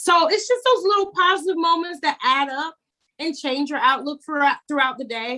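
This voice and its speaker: Her raised, projected voice is high-pitched, bright and sharp, with an energetic tone and lively intonation, and this woman moves at a moderate pace. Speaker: TikTok creator and motivational speaker. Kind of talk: podcast interview answer. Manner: energetic, preacher-like, friendly.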